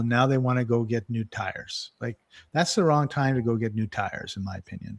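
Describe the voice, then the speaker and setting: A man with a plain, everyday voice speaks at medium pitch. His pitch variation is ordinary, and the recording is very clean with a silent background. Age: 60s. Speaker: wellness podcast host. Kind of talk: casual chat.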